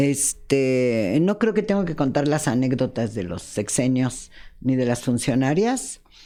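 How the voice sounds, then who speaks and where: A woman speaks at a fairly slow pace in a very deep, low pitch. Her tone is dark and mellow, and her intonation is lively. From Mexico City. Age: 70s. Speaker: journalist. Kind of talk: interview.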